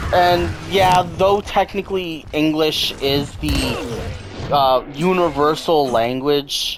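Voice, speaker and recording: Someone speaks with a Canadian accent over noticeable background noise. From Canada. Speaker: gaming streamer. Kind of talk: casual gameplay commentary with chat. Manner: halting.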